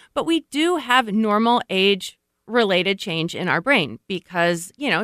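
On a very clean recording with a silent background and a dry, close sound with no echo, a woman speaks at a medium pitch in a bright, sharp tone with lively intonation. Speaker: gerontology professor. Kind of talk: radio interview.

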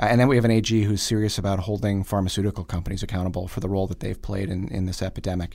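A very fast man's voice with an American accent, fairly low in pitch, dark and mellow in tone, with fairly even intonation and hardly any pauses. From Wisconsin (Oshkosh, Fond du Lac). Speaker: political candidate, attorney. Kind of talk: interview.

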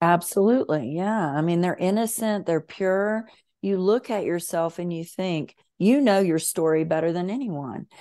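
With a Southern US accent, a woman speaks in a dark, mellow tone at a fairly low pitch against a quiet background. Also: ordinary pitch variation, moderate pace. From US South. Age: 50s. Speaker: author and emotional healing coach. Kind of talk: interview.

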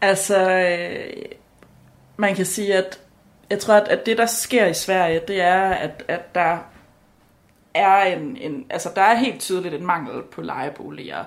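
Very slow and marked by long, frequent pauses, a woman's medium-pitched voice moves with ordinary pitch variation. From Denmark. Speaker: law student. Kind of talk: casual chat. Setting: kitchen at home. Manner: halting.

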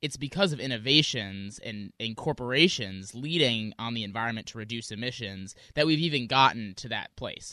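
Against a quiet background, a man with an American accent speaks with hardly any pauses in a bright, sharp tone, ordinary pitch variation and big swings in loudness. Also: medium pitch for a man, moderate pace. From US Midwest, Wisconsin. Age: 20s. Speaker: student activist. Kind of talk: radio interview.

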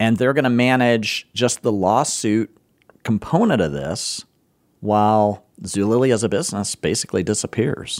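A man with a plain, everyday voice, medium in pitch, moderate in pace and lively in intonation. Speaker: podcast host. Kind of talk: casual conversation. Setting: studio.

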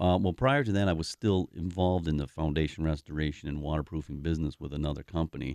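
A man with a Wisconsin accent and a very deep, low pitch speaks at a very fast pace with hardly any pauses and ordinary pitch variation, the sound dry and close with no echo against a quiet background. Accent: Upper Midwest (Wisconsin). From Milwaukee, Wisconsin (South Side). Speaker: basement repair company owner. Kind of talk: radio talk show interview.

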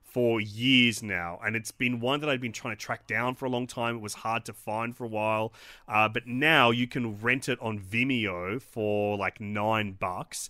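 A man with an Australian accent at a medium pitch and moderate pace. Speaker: film podcast host. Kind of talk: casual chat. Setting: video call.

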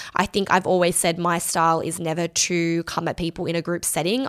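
In an Australian accent, a woman talks in a fairly low pitch, with a dry, close sound and no echo. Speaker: podcast host. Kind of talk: solo Q&A chat. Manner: fast talker; casual, chatty.

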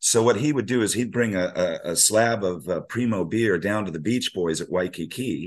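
With an American accent and an unremarkable speaking voice, a man talks at a fairly low pitch with ordinary pitch variation against a quiet background. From US Navy family, raised partly abroad and in California. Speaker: surf journalist and author. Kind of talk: casual interview conversation.

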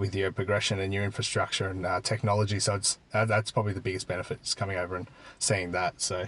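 With an Australian accent, a man talks at a very fast pace and a fairly low pitch in monotone, flat intonation. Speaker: dairy farmer. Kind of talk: casual interview. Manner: hesitant, filler words.

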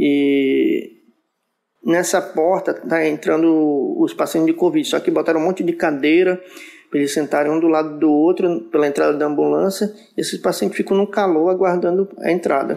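At a moderate pace, a man with a high-pitched voice keeps very even loudness and fairly even intonation. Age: 30s. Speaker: nurse. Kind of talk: interview.

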